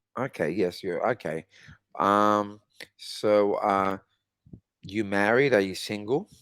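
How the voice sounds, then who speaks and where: Speaking very slowly with long, frequent pauses, a man with a fairly low pitch is heard in a dry, close sound with no echo. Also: ordinary pitch variation. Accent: Australian. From Australia. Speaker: English conversation tutor. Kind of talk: casual chat.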